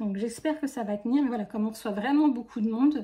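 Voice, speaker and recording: Quickening to a fairly quick pace, a woman speaks at a fairly high pitch with a dark, mellow tone and ordinary pitch variation. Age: 40s. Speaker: budgeting youtuber. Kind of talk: casual tutorial. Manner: halting.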